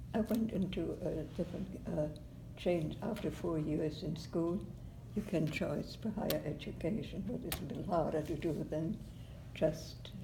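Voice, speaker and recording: A woman speaks with a German accent. Her pace is moderate. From Germany. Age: 80s+. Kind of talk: oral history interview answer.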